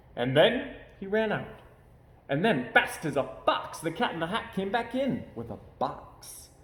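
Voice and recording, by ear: A man's high voice with big pitch swings, a fairly slow pace and audible room echo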